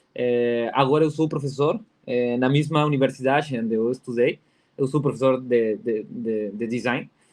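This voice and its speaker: A man with a Spanish accent speaks at a moderate pace, his medium pitch showing ordinary variation. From Peru. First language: Spanish (speaking Portuguese). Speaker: design professor and researcher. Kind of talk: conference talk. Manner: halting, many fillers and repetitions.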